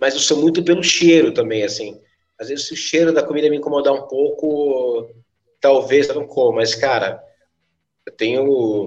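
Speaking at a moderate pace, a man has an unremarkable speaking voice, fairly high in pitch, with ordinary pitch variation. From São Paulo, south zone (Capão Redondo). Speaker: musician and music school owner. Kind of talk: casual podcast interview. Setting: at his music school.

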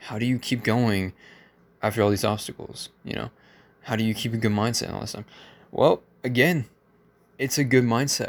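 On a very clean recording with a silent background, a man speaks at a moderate pace and medium pitch, with fairly even intonation and long, frequent pauses. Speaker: motivational podcaster. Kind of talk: motivational monologue.

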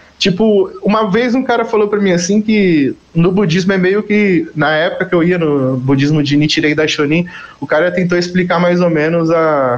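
A man's high voice with ordinary pitch variation, at a moderate pace, over noticeable background noise. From Greater São Paulo (Carapicuíba). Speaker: musician. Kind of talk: casual chat.

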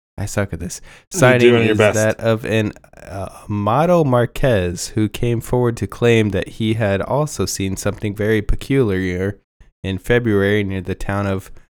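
Talking at a fairly slow pace, a man uses a fairly low pitch. His pitch variation is ordinary. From Texas. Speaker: podcast co-host reading a story aloud. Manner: casual, laid-back reading with joking asides.

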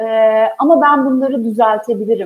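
Fairly slow speech from a woman, with ordinary variation in pitch. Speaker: HR executive. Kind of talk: interview.

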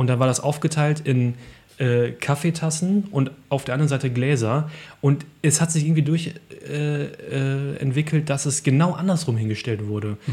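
A somewhat breathy male voice with a dark, mellow tone moves through ordinary pitch variation. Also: fairly high pitch for a man, moderate pace. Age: 30s. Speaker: podcast host. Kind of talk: casual chat.

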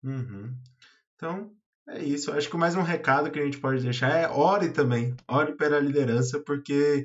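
A man in an ordinary speaking voice talks at a moderate pace with a fairly high pitch and ordinary pitch variation. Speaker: church youth podcast host. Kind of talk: casual chat.

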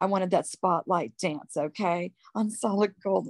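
A woman speaks at a fairly slow pace in a normal speaking voice, medium in pitch with ordinary pitch variation, the sound dry and close with no echo on a very clean recording with a silent background. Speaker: guest giving testimony. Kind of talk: testimony.

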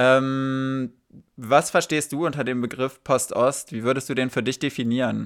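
This is a very clean recording with a silent background. A man talks at a medium pitch. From Germany, small town. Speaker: podcast host. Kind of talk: casual interview.

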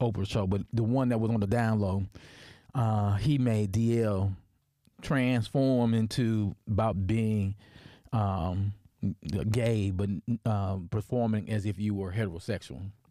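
In an American accent, a man with a dark, mellow tone and fairly low pitch speaks at a fairly slow pace. His intonation is fairly even and his loudness very even, on a very clean recording with a silent background. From US South (Tennessee). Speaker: history professor and podcast host. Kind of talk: personal storytelling monologue. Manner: halting, many fillers and restarts.

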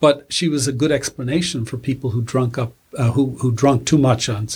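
At a fairly quick pace, a man speaks at a medium pitch with ordinary pitch variation. His voice is somewhat breathy. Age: 60s. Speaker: retired folklore professor. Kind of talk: interview.

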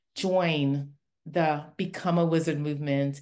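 Against a quiet background, a woman speaks with a warm tone and a very deep, low pitch. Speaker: podcast host. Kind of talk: interview, casual chat. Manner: laughs often, warm.

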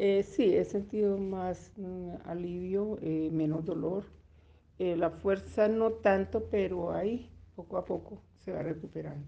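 A woman talks very slowly in a medium pitch, her intonation fairly even. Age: 70s. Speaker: grandmother in exercise study. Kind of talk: interview. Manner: halting.

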